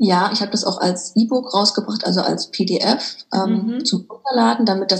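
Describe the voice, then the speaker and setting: Against noticeable background noise, a woman of medium pitch talks at a moderate pace with hardly any pauses. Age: 30s. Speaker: author and business coach. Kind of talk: interview.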